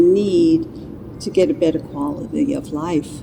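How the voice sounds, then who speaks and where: Against noticeable background noise, a woman talks at a fairly slow pace. Her voice makes very wide pitch swings. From US, New York. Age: 70s. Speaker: patient. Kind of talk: testimony.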